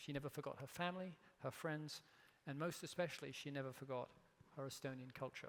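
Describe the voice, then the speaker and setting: Speaking in an English accent at a very fast pace, the voice keeps fairly even intonation but has long, frequent pauses. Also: man, fairly high pitch for a man. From England. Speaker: company CEO, keynote speaker. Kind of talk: keynote speech. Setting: stage with audience.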